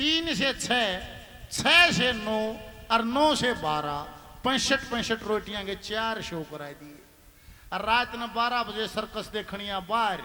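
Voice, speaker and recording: A man speaks in a raised, projected voice with a Haryana accent, pitched high. His intonation is lively, and noticeable background noise sits behind him. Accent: Haryanvi. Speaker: ragni folk singer and comedian. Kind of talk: stage joke telling.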